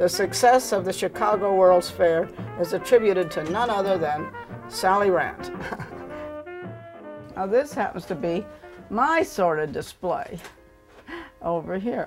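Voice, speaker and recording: A woman's fairly slow speech in an American accent, medium in pitch with lively intonation and long, frequent pauses, over music in the background. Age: 70s. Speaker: burlesque dancer. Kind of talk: documentary interview answer.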